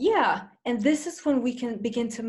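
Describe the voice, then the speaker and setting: A woman speaks with a fairly high pitch. Her voice is somewhat breathy. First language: not English. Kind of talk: casual discussion.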